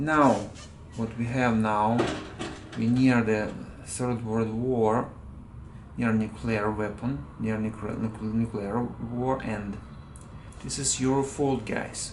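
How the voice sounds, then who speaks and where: Over audible room echo, a man speaks very slowly at medium pitch with fairly even intonation and long, frequent pauses. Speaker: vlogger. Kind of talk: angry rant monologue. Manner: halting, many fillers.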